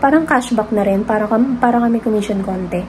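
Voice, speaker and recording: Soft-spoken and fairly high-pitched, a woman keeps a fairly even intonation over noticeable background noise. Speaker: vlogger. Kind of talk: casual vlog chat.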